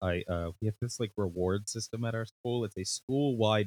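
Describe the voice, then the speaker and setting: A man with an ordinary speaking voice talks at a moderate pace. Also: very clean recording, silent background. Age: 30s. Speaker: podcast host and teacher. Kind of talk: casual chat.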